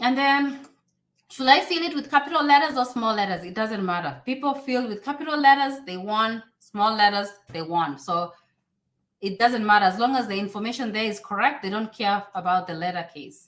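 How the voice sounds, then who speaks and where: Woman with a Kenyan accent, fairly high pitch, lively intonation, an animated tone and a moderate pace. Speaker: YouTuber and immigration advisor. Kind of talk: live stream Q&A. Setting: live stream.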